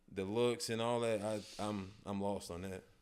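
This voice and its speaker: A man's voice with fairly even intonation. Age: 30s. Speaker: musician and father. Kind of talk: casual chat. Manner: halting, lots of restarts.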